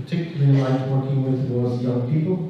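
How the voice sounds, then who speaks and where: The speaker is a man with a medium pitch. Room echo is audible. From Israel. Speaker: clinical social worker. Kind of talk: talk to an audience. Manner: slow.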